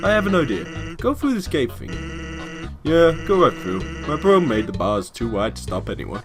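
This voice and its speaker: Someone performs in a put-on character voice. Clear music plays in the background. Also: man, medium pitch for a man, moderate pace. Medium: game stream. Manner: laid-back, casual.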